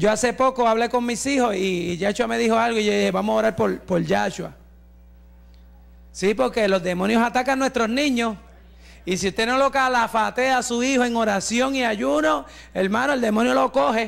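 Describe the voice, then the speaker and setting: Animated in tone, a man speaks at a high pitch and moderate pace with ordinary pitch variation and very even loudness. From Puerto Rico (Santa Isabel); Puerto Rico. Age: 60s. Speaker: pastor and evangelist; pastor, evangelist. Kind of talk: sermon testimony. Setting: church with congregation. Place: church. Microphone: handheld.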